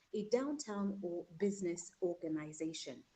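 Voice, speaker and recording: The woman's voice is somewhat breathy, with a dark, mellow tone. Her pitch varies in an ordinary way. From Kenya. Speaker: talk show host. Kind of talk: panel show introduction. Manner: formal.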